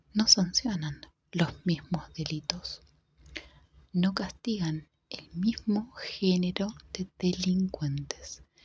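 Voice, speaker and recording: Soft-spoken whispering in an Argentine accent at a very slow pace, with long, frequent pauses. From Argentina. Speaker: ASMR creator. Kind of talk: ASMR book reading. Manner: soft-spoken, whispered.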